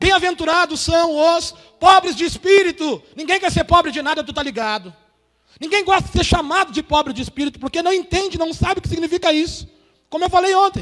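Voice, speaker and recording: A man talks at a fairly quick pace with an extremely high pitch. His tone is bright and sharp. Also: ordinary pitch variation. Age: 40s. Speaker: pastor. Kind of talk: sermon. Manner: informal, slangy preaching.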